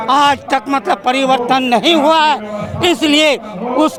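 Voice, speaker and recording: The man's voice has an extremely high pitch with ordinary variation. Background noise is noticeable. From Bihar, Katihar. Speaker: party supporter at rally. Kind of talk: street interview.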